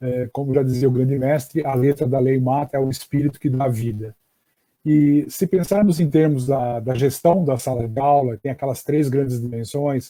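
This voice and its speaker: Here a man speaks at a moderate pace in a medium pitch. His tone is dark and mellow, with fairly even intonation. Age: 60s. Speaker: education professor. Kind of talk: online lecture. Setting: live stream. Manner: hesitant with fillers.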